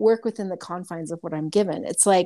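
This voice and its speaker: A dark, mellow tone carries ordinary pitch variation. The recording is very clean, with a silent background. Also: woman. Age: 50s. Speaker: medical intuitive. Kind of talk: casual chat.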